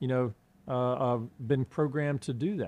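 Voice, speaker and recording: A man with a Southern US accent talks at a medium pitch and moderate pace, with ordinary pitch variation, against a quiet background. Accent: Southern US, persisted. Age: 50s. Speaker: political candidate, retired Marine. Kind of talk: interview, campaign talk.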